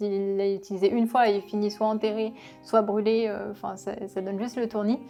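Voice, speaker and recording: This voice moves at a very fast pace with a dark, mellow tone. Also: woman. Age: 20s. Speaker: business co-founder. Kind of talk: interview monologue. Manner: hesitant, many fillers.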